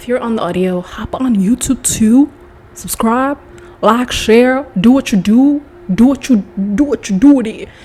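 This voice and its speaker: A woman with a high pitch and an animated tone speaks at a moderate pace with ordinary pitch variation. Her loudness swings widely, and there is noticeable background noise. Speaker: podcast host. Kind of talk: casual monologue.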